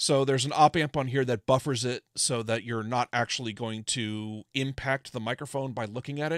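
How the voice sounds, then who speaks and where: Against a quiet background, a man with an American accent and medium pitch speaks at a moderate pace with hardly any pauses. His intonation is fairly even, and the sound is dry with no echo. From California. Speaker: ham radio electronics designer / livestreamer; ham radio electronics designer, livestreamer. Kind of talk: casual technical livestream tutorial. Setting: livestream with remote guest. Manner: loud. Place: home room. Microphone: studio mic.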